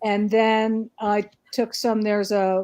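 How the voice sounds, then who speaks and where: A woman's dark, mellow tone comes through against a quiet background. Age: 60s. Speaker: medium. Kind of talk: casual chat.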